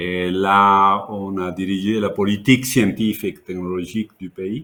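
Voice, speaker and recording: A man speaks with a Mexican accent at a fairly low pitch, his intonation fairly even. His loudness swings widely. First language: Spanish (speaking French). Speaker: education consultant, former minister. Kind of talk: webinar interview. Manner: halting.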